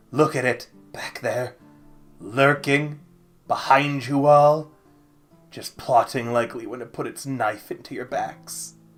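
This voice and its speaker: Using a put-on character voice, a man speaks at a fairly high pitch and a fairly slow pace, with long, frequent pauses and faint music in the background. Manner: suspicious.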